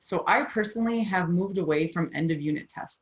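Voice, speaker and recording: A woman speaks at a medium pitch, somewhat breathy. Her intonation is lively. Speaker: high school chemistry teacher. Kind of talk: workshop presentation. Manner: fast.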